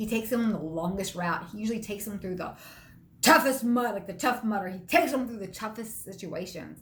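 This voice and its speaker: Fairly high-pitched and somewhat breathy, a woman talks in an animated tone with ordinary pitch variation. There is audible room echo. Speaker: motivational speaker. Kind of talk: motivational talk. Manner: fast.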